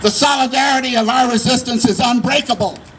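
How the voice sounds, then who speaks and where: A man's extremely high-pitched voice over noticeable background noise. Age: 70s. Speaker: tenant activist. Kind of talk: prepared activist speech.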